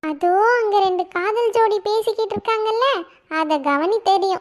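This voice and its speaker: A cartoonish character voice squeaks at an extremely high pitch. It moves at a very slow pace. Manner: friendly, self-assured.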